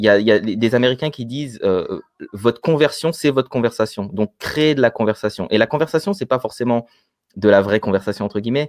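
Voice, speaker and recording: With an ordinary speaking voice, a man at medium pitch and with ordinary pitch variation talks at a fairly quick pace, the sound dry with no echo over a quiet background. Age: 30s. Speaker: business coach and entrepreneur; guest. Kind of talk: interview on online business. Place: home room.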